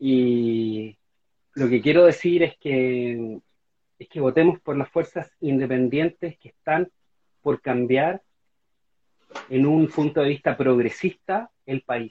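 At a very slow pace, a man with a Chilean accent and a fairly high pitch speaks with big swings in loudness and long, frequent pauses. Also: ordinary pitch variation. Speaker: constitutional convention candidate and novelist. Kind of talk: interview. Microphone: unreliable home internet connection.

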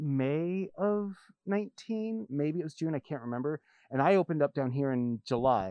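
A man speaks in an unremarkable speaking voice at a fairly high pitch. His intonation is lively. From US Pacific Northwest. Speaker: record store owner. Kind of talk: casual chat.

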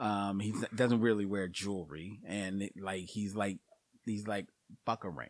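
Speaking at a fairly slow pace, a man uses a normal speaking voice with a fairly low pitch and fairly even intonation. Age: 50s. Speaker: podcast co-host. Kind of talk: casual chat.

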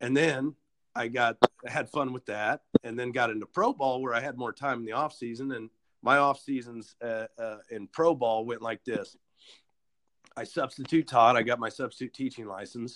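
A man with an American accent speaks at a moderate pace in an ordinary speaking voice, his pitch medium and his intonation fairly even. The sound is dry and close, with no echo. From Kansas. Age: 30s. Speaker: podcast host. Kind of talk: casual interview.

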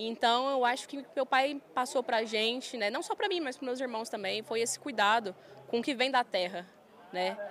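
Talking at a moderate pace, a woman with a rural Goiás accent uses a high pitch and ordinary pitch variation. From Goiás, Brazil (Goiânia). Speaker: farm manager and influencer. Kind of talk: casual interview. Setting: trade fair stand.

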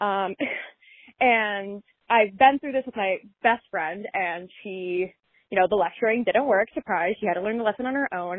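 Speaking in a plain, everyday voice, a woman keeps a medium pitch, ordinary pitch variation and a moderate pace. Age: 20s. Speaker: caller. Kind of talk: recorded voice message.

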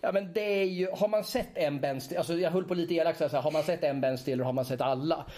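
Over noticeable background noise, a man with a high-pitched voice talks at a very fast pace with hardly any pauses and very even loudness. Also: ordinary pitch variation. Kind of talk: casual chat. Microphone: small portable recorder with clip-on mic, more room echo.

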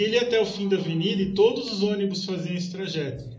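Over noticeable background noise and audible room echo, a man with a high pitch talks at a fairly quick pace with ordinary pitch variation. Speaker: podcast guest, story researcher. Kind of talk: storytelling.

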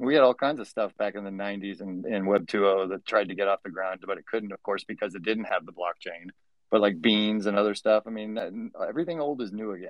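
A man with a plain, everyday voice speaks fairly quickly in a fairly low pitch, with ordinary pitch variation and big swings in loudness. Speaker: digital artist and CG educator. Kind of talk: casual chat. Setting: studio.

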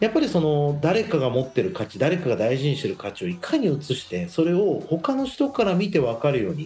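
A fairly high-pitched man's voice with a dark, mellow tone and vocal fry, very wide pitch swings, a fairly quick pace and hardly any pauses. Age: 40s. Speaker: radio host and company founder. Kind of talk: casual radio talk.

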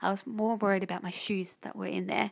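A woman with an Australian accent. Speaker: podcast host. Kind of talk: casual monologue. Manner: halting.

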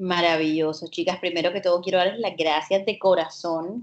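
In a Colombian Caribbean accent, a woman speaks at a fairly low pitch with fairly even intonation. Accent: Colombian Caribbean coast. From Colombia, Caribbean coast. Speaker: holistic psychologist and astrologer. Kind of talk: casual interview chat.

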